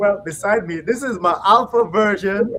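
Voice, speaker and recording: Against noticeable background noise, a man with an American accent speaks at a fairly slow pace. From USA. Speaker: panel host. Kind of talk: live online panel discussion. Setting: live online video call.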